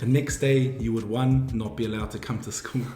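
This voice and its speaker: Music plays in the background and room echo is audible as a man speaks with ordinary pitch variation. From New Zealand, Wairoa. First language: Māori. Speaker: university student. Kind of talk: interview.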